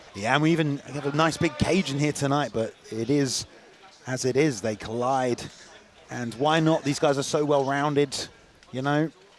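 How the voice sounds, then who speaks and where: With noticeable background noise behind him, a man with a fairly high pitch speaks at a moderate pace with fairly even intonation. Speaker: MMA commentator. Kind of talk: live commentary. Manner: loud.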